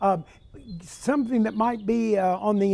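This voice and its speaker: The voice has a dark, mellow tone and an American accent. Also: man. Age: 60s. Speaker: TV talk show host. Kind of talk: casual interview. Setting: porch.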